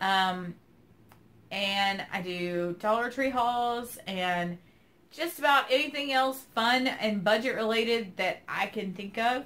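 A woman's fairly high voice at a very slow pace, with ordinary pitch variation, in a Southern US accent. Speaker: keto weight loss vlogger. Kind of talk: casual vlog update. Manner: chatty, filler 'um'.

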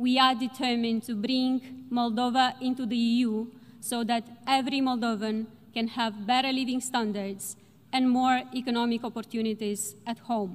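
Speaking at a moderate pace, a woman keeps a monotone, flat intonation at a high pitch. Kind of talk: formal speech. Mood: determined, measured. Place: hall. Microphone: podium.

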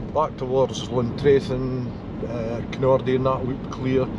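A man speaks at a moderate pace, the sound dry with no echo and noticeable background noise around him. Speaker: driver vlogger. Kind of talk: casual vlog chat. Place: car. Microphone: phone near.

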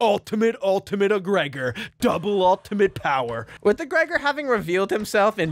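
A man talks at a moderate pace, his pitch swinging very widely. Music plays in the background, and the sound is dry with no echo. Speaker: video commentator. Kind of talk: commentary. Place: home room. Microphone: studio mic.

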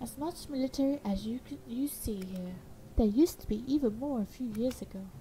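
Fairly high in pitch with a dark, mellow tone, a woman speaks at a fairly quick pace. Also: ordinary pitch variation. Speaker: gaming YouTuber. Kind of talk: let's play gameplay commentary. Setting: home recording at computer. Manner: casual, chatty, self-interrupting.

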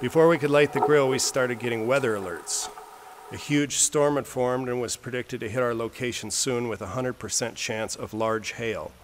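Light background noise accompanies a man talking at a fairly quick pace. His pitch varies in an ordinary way. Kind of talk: narration of travel video.

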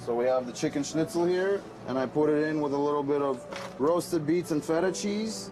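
A man talks at a fairly quick pace with a fairly high pitch and ordinary pitch variation. His loudness stays very even, and background noise is noticeable. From New York City. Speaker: food truck owner. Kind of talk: interview answer. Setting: inside a food truck on a city street. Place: kitchen.

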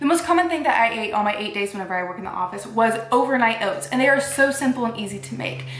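Speaking at a very fast pace with hardly any pauses, a woman is heard over light background noise and audible room echo. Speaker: fasting vlogger. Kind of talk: casual vlog chat. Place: home room.

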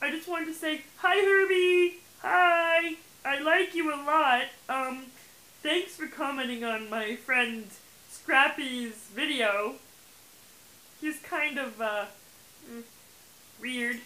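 A put-on character voice, high-pitched, croaky and raspy, crawls along at a very slow pace with long, frequent pauses. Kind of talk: comic puppet voice. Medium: puppet show. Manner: rambling, silly, cheeky.

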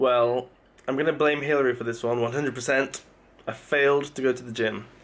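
At a moderate pace, a man talks in a monotone, flat intonation. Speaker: vlogger. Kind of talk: casual vlog chat. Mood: mildly exasperated, joking. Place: home room. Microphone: phone near.

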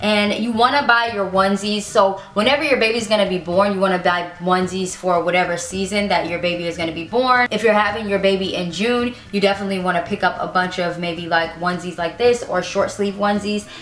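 A woman speaks at a very fast pace with hardly any pauses and fairly even intonation. Light background noise and audible room echo surround her voice. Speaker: parenting vlogger. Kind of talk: casual product show-and-tell vlog. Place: home room.

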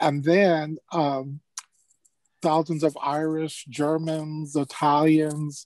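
This man has a fairly high pitch and speaks at a very slow pace. The sound is dry with no echo. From California, Los Angeles. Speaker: archivist; panelist. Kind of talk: panel discussion. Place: office. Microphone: earbuds.

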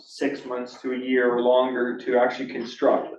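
The clip has audible room echo around a man talking at a moderate pace. His voice is medium in pitch, with monotone, flat intonation.

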